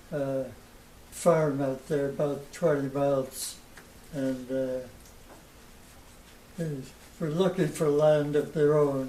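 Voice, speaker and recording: A man with a fairly high pitch speaks at a very slow pace with fairly even intonation and long, frequent pauses, against noticeable background noise. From Polk County, Wisconsin. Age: 80s+. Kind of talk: interview answer.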